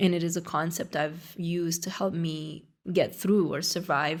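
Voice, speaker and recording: A woman's fairly low voice with vocal fry and a Romanian accent, monotone, flat intonation and a moderate pace, on a very clean recording with a silent background. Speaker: academic. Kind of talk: poetry reading.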